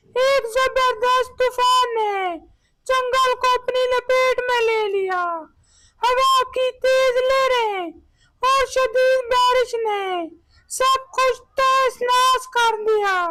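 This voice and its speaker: A woman performs a cartoonish character voice at an extremely high pitch, with fairly even intonation. She speaks at a very slow pace with very even loudness. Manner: earnest, affectionate storyteller.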